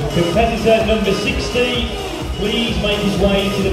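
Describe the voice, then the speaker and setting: Over loud background music and audible room echo, a man talks at a moderate pace. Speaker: contest announcer. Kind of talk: stage announcements of pose commands. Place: hall.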